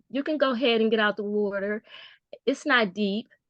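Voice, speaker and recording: A woman talks in a plain, everyday voice with fairly high pitch. Her pace is moderate and her pitch varies in an ordinary way. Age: 60s. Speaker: workshop participant. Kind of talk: testimony.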